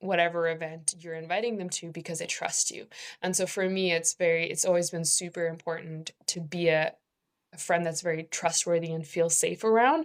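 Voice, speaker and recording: A woman speaks at a fairly quick pace in a fairly low pitch, with monotone, flat intonation. The recording is very clean, with a silent background. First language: not English. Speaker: panel guest, mentorship ambassador. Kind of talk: casual panel conversation. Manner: hesitant, self-correcting.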